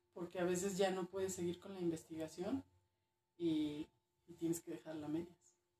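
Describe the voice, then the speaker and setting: Here a woman speaks at a moderate pace. Her fairly low voice has a dark, mellow tone. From northern Mexico, Durango. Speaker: archaeologist. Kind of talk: casual interview.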